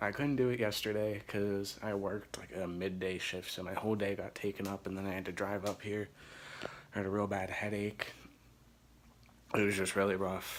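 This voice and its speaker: Speaking quietly at a moderate pace, a man with an American accent uses a fairly low pitch and monotone, flat intonation. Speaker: gaming vlogger. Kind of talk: casual vlog. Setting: dorm room. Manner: quiet, hushed.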